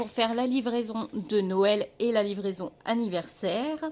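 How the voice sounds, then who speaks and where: A woman speaks at a fairly slow pace, her medium pitch showing ordinary variation. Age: 40s. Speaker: budget vlogger. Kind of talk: casual vlog talk to camera. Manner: hesitant fillers.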